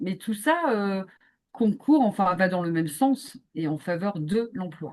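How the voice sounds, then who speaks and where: Very slow in pace, a woman of medium pitch speaks with very wide pitch swings. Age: 50s. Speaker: business consultant and activist. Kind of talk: podcast interview. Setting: video call. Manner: hesitant, many fillers.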